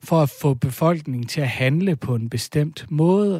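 A man's fairly high, somewhat breathy voice with lively intonation at a fairly slow pace, in a dry, close sound with no echo. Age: 30s. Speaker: folk high school teacher. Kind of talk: casual chat. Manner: halting.

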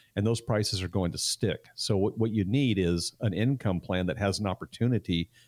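In a very clean recording with a silent background, a man speaks at a fairly low pitch and a moderate pace. His is an ordinary speaking voice with ordinary pitch variation, and the sound is dry and close with no echo. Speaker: financial advisor. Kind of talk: radio talk show discussion.

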